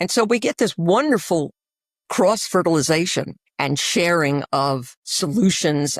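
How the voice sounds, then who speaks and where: A woman speaks with a New York accent at a fairly slow pace. Her intonation is lively. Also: dry, close sound with no echo. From New York City. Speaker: infectious disease physician. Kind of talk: interview. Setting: podcast.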